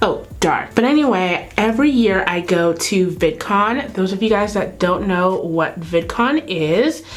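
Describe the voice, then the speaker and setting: A woman with an American accent at medium pitch, fairly slow and with lively intonation, amid audible room echo and noticeable background noise. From California. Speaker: beauty YouTuber. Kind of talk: makeup tutorial. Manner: casual, chatty.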